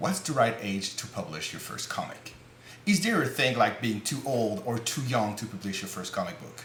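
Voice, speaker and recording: Speaking with a non-native accent, a man has a medium pitch and very wide pitch swings. Noticeable background noise is present. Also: moderate pace. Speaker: comic book creator. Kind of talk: casual talk to camera.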